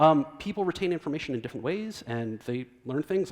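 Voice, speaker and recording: His pitch is fairly high and swings very widely. The man speaks at a very fast pace. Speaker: design leadership speaker. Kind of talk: conference talk. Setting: stage with audience. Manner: animated.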